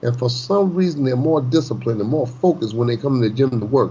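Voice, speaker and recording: Over noticeable background noise, a man talks at a fairly quick pace in an animated tone with lively intonation. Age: 60s. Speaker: boxing trainer. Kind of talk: casual chat.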